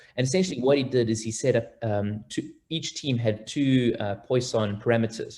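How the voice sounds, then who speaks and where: A man talks at a moderate pace with hardly any pauses, his medium-pitched voice somewhat breathy. His tone is dark and mellow, with ordinary pitch variation. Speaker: consulting actuary and educational youtuber. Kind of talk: interview. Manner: animated.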